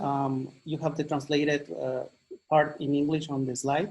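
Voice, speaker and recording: In a Mexican accent, a man speaks at a moderate pace. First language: Mazahua. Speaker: English teacher and educator. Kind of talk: presentation.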